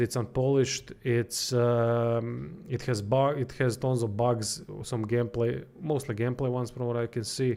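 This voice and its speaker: A man's medium-pitched voice varies in an ordinary way as he speaks at a moderate rate. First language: not English. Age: 30s. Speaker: game streamer and reviewer. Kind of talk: livestream gameplay commentary. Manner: halting.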